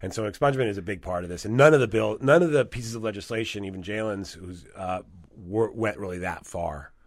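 Spoken very fast with an American accent, this is a very clean recording against a silent background. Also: man. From California. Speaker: attorney. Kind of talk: interview. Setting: studio.

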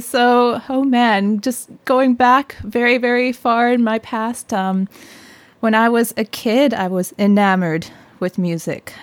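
Speaking fairly slowly, a woman has an unremarkable speaking voice, fairly high in pitch with ordinary variation. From Canada, British Columbia (Sunshine Coast). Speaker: music researcher and fiddle musician. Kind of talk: casual interview.

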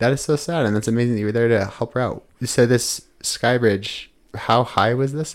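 An ordinary speaking voice, this man's medium-pitched delivery comes at a moderate pace with fairly even intonation, in a very clean recording with a silent background. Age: 30s. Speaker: podcast host. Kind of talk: casual interview.

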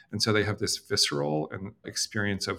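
A normal speaking voice, a man's, fairly low in pitch, at a moderate pace with ordinary pitch variation. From Canada. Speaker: company founder and CEO. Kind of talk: interview. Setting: video call.

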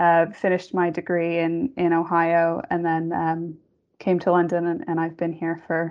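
The woman speaks at a moderate pace. Her intonation stays monotone and flat. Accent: western New York. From Western New York State, US. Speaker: pensions actuary. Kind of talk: casual panel conversation.

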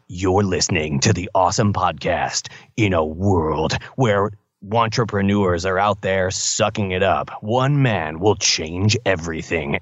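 A man puts on a character voice with a fairly low pitch. He delivers it at a fairly slow pace. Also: very even loudness. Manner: cheesy, over the top.

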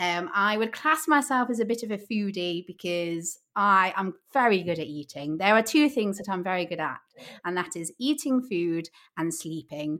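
In an English Midlands accent, a woman talks at medium pitch with an animated tone and lively intonation. Her bright, sharp voice comes through a very clean recording with a silent background. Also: moderate pace. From Midlands, England. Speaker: podcast host. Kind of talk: casual chat.

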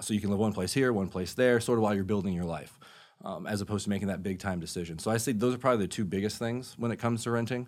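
A man with an American accent talks very fast in a fairly low voice, his pitch moving in an ordinary way. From Florida, Orlando area (Sanford). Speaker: real estate lending manager. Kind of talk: interview on personal finance. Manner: casual, filler-heavy.

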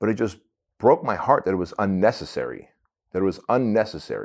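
A man's plain, everyday voice, fairly low in pitch, with an American accent, a fairly quick pace and ordinary pitch variation. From Armenia, raised in the US from age six. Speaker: entrepreneur, author and speaker. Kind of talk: interview storytelling.

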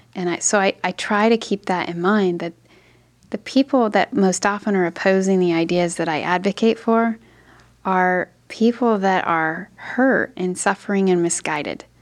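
This is a plain, everyday voice with ordinary pitch variation at a moderate pace. The background is quiet. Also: woman, medium pitch for a woman. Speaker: lawyer. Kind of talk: interview.

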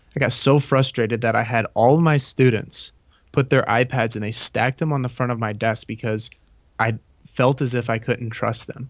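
With an American accent, a man in a normal speaking voice talks at a fairly quick pace, medium in pitch, with fairly even intonation. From Indiana, US Midwest. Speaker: middle school science teacher. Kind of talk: interview.

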